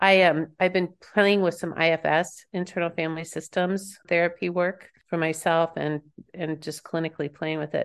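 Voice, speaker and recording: Her intonation is monotone and flat. The woman has a fairly low pitch and an American accent. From Kansas. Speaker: empowerment coach and author. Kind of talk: guided meditation, eyes-closed centering exercise for listeners; casual interview chat. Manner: slow, calm, soothing instruction with pauses; warm, laughing, filler-heavy conversation.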